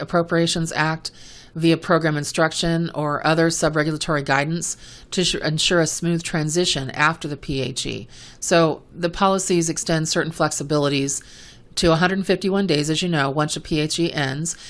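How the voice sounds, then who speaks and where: The speech moves at a fairly quick pace in a very clean recording with a silent background. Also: woman. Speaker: podcast host, medical coding educator. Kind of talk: educational podcast monologue. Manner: fast; animated.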